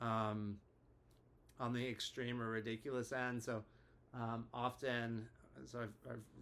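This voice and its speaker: Man's medium-pitched voice with monotone, flat intonation. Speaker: therapist. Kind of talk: casual educational talk to camera. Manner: hesitant, many filler words.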